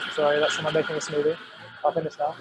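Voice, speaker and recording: A man with a British accent speaks at a fairly high pitch. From southern England, home counties. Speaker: journalist. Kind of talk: webinar discussion. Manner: halting, many repetitions.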